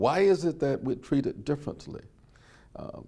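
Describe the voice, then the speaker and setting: A man with an American accent speaks at a moderate pace in a dark, mellow tone with ordinary pitch variation. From US South, Birmingham, Alabama. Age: 70s. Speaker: civil rights era witness. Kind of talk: oral history interview. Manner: some hesitations and repeated words.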